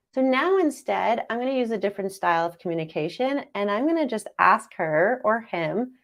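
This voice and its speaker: Animated and full of lively intonation, a woman talks at a moderate pace in a fairly high voice. The recording is very clean, with a silent background. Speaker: dating coach. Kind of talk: live-streamed masterclass. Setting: live stream.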